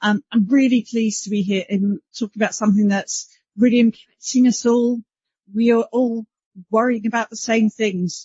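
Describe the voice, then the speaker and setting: A woman with a British accent speaks at a moderate pace in a fairly high, somewhat breathy voice with monotone, flat intonation. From UK. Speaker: panel moderator, broadcast standards executive. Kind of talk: conference panel moderation.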